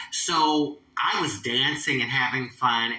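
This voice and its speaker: An American accent with ordinary pitch variation against noticeable background noise. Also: woman. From Philadelphia, US. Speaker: transgender activist and show host. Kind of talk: casual storytelling monologue.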